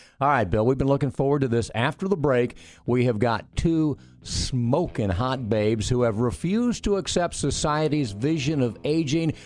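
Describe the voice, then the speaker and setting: A man with a plain, everyday voice speaks at a moderate pace in a medium pitch with lively intonation. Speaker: radio host. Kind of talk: radio interview, casual chat.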